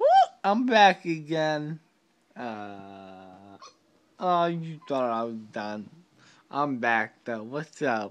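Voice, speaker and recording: A man talks at a very slow pace, his pitch swinging very widely. He takes long, frequent pauses. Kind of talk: casual selfie video chat. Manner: groggy, slurred post-anesthesia speech. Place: home room. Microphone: phone near.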